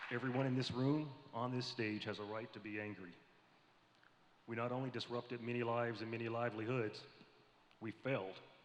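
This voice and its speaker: A man with an American accent speaks fairly quickly in a medium-pitched, flat, monotone voice. Long, frequent pauses break his speech, and audible room echo is present. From US South, Tennessee (Columbia). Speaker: navy admiral. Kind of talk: prepared speech to panel audience. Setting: stage with audience at convention. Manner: formal.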